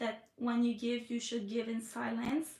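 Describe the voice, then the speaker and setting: A high-pitched woman's voice in a Quebec accent. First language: French. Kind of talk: live stream chat. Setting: live stream from iPad. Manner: hesitant, many fillers.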